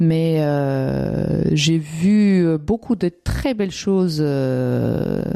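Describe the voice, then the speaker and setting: Here is a woman with an Austrian accent. Her tone is dark and mellow. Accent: German-speaking Austrian accent in French. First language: German (Austrian) (speaking French). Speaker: immigrant interviewee. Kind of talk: interview testimony. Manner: hesitant, many fillers.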